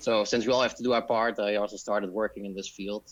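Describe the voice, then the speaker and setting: In a Dutch accent, a man talks at a very fast pace with monotone, flat intonation. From Netherlands. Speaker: disaster risk specialist. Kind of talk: podcast interview.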